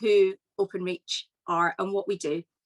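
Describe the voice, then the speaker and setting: A woman speaks in a west of Scotland accent. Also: dry, close sound with no echo. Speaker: business executive. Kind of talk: keynote speech.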